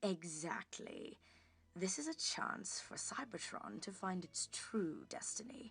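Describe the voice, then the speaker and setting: A female-sounding put-on character voice, raspy and at a medium pitch, delivers lines at a fairly slow pace in a smug, theatrical tone. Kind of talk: comic book reading.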